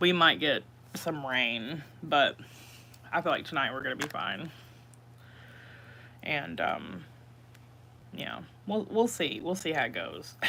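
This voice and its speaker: A woman with a very deep, low voice and vocal fry speaks at a fairly slow pace, her pitch swinging very widely between long, frequent pauses. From East Tennessee. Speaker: livestreaming cooking vlogger. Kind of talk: casual livestream chat. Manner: casual, chatty.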